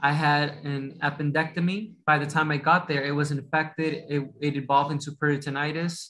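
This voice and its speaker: A man's fairly high voice, flat and monotone, at a fairly quick clip with hardly any pauses. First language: Spanish. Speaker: doctor. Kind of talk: interview. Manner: mumbles a little; halting, many restarts.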